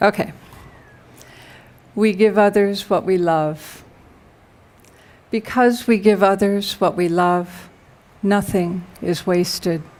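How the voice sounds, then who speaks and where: Speaking at a very slow pace with long, frequent pauses, a woman keeps a medium pitch and fairly even intonation. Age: 60s. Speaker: poet. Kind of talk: poetry reading. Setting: library reading with audience and microphone.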